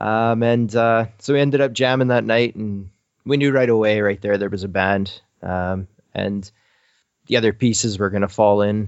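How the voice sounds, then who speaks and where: Here is a man with a Canadian accent. He talks at a moderate pace with fairly even intonation. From Canada. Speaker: musician in indie rock band. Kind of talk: casual interview.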